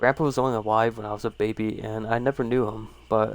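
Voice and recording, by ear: Fairly even intonation in a natural voice reading aloud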